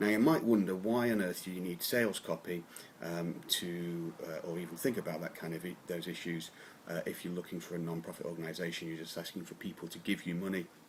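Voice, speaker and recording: A man with an English accent, very deep and low in pitch, at a very fast pace with fairly even intonation. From England. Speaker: copywriter. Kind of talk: talking-head advice video. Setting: home office. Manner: hesitant, many fillers.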